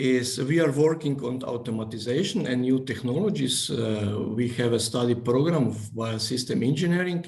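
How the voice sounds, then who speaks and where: Amid noticeable background noise and audible room echo, a man with a non-native accent speaks at a moderate pace in a medium pitch with ordinary pitch variation. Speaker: engineering professor. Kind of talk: presentation. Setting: video call. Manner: halting.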